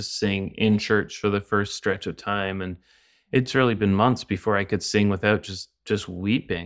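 With a Canadian accent, a man speaks in a plain, everyday voice, fairly low in pitch, at a moderate pace. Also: very clean recording, silent background. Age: 40s. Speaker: pastor and author. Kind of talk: podcast interview on grief.

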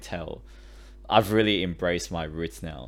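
An Australian accent marks this man's very deep, low voice, which has vocal fry, very wide pitch swings and a moderate pace. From Sydney, Australia; Chinese-born. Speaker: podcast co-host. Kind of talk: casual chat.

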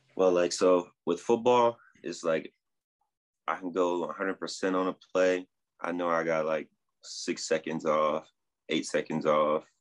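A man with a very deep, low pitch speaks at a very slow pace. He leaves long, frequent pauses, and his intonation stays fairly even. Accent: New Jersey. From New Jersey. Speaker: rugby sevens player. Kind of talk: interview.

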